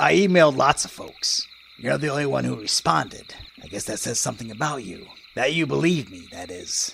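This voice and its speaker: A man's put-on character voice at a medium pitch, fairly quick, with very wide pitch swings and big swings in loudness. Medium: audio drama. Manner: blunt, folksy.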